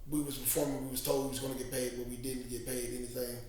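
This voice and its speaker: With audible room echo and noticeable background noise, a man talks at a medium pitch. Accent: American. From Missouri. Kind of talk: interview.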